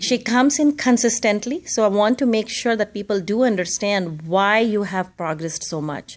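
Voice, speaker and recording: Using an ordinary speaking voice, a woman talks at a moderate pace and a fairly high pitch, with lively intonation and hardly any pauses. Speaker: yoga instructor. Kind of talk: interview question.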